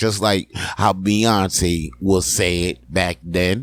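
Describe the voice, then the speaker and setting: A man speaks at a very slow pace with a very deep, low pitch. His intonation stays fairly even. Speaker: solo show host. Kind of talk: informal slang. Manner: casual, rambling.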